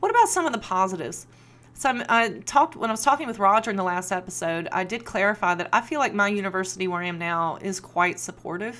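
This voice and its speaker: A woman with an American accent, medium pitch and bright, sharp tone at a very fast pace, on a very clean recording with a silent background. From Appalachia, US. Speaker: sociology lecturer and podcast host. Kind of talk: solo podcast monologue. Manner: casual, conversational.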